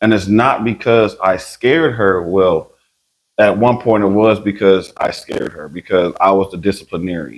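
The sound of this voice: A raspy, put-on character voice from a man, pitched fairly low at a moderate pace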